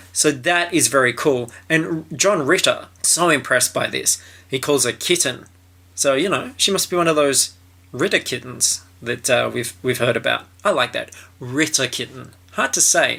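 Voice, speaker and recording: On a very clean recording with a silent background, a man with an Australian accent speaks at a moderate pace, his fairly high voice bright and sharp in tone with vocal fry. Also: lively intonation. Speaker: commentator reviewing a film or show. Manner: casual, joking.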